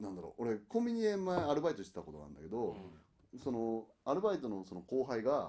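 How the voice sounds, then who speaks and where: Talking at a very fast pace, a man with a medium pitch makes very wide pitch swings and big swings in loudness. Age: 30s. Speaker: podcast co-host. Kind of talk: casual chat.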